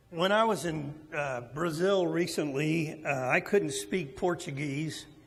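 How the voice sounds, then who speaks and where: Very slow speech from a man, ordinary pitch variation, audible room echo. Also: fairly high pitch for a man. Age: 60s. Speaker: preacher. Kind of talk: sermon.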